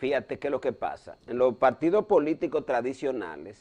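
A man talks with vocal fry and lively intonation. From Dominican Republic. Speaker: cardiologist and political commentator; political commentator. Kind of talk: news analysis talk show. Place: studio. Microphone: lapel.

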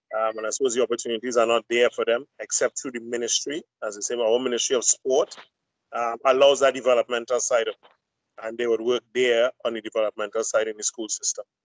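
A man speaks at a very fast pace against a quiet background, the sound dry with no echo. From Trinidad and Tobago. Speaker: hockey coach educator. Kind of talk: panel discussion. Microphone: video call.

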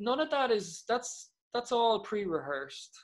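A man with an Irish Midlands accent is heard in a very clean recording with a silent background. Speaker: Gaelic football player. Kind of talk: casual chat.

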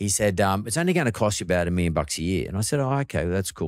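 A man speaks very fast in a very deep, low voice with an Australian accent and lively intonation. The sound is dry with no echo, and the background is quiet. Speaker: podcast host. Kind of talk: casual interview chat. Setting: studio. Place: studio. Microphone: studio mic.

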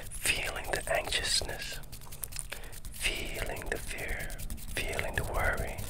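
A man speaks over loud background noise. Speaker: meditation guide. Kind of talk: guided meditation. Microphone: earbuds.

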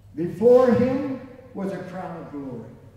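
Very slow speech from a man at an extremely high pitch, with ordinary pitch variation, rings with strong room echo. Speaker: preacher. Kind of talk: sermon. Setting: church with congregation. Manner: animated, fervent preaching with repetition and call-and-response; rising, rhythmic, emphatic. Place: church. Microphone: camera far.

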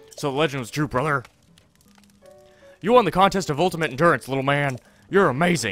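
Faint music plays behind a man doing a gruff, strained put-on character voice with a fairly high pitch. He sounds enthusiastic and talks very fast, yet with long, frequent pauses. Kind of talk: gameplay commentary, reading character dialogue. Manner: praising, enthusiastic.

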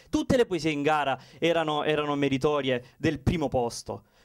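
A man with a fairly high pitch talks at a moderate pace against a quiet background. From southern Italy, Salento (Lecce province, Apulia); Apulia, Italy. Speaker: poet, contest finalist; poetry contest finalist. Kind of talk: acceptance speech. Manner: halting. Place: stage. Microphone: handheld.

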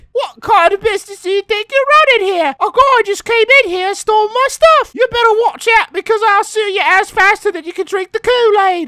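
A woman with an extremely high pitch at a fairly quick pace, hardly any pauses. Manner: shrill, angry.

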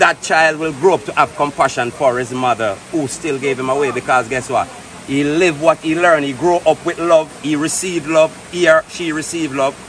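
A speaker with a Jamaican accent talks with hardly any pauses over light background noise. The sound is dry, with no echo. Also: man, fairly high pitch for a man, fairly even intonation, moderate pace. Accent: Jamaican Patois-inflected English. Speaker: vlogger. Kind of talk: casual chat. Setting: outdoors. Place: forest. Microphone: phone near.

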